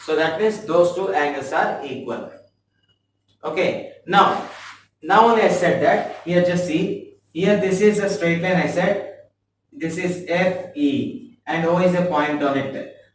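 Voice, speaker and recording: There is audible room echo around a man's high voice. He speaks fairly slowly with ordinary pitch variation. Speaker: math teacher. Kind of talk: tutorial. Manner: halting.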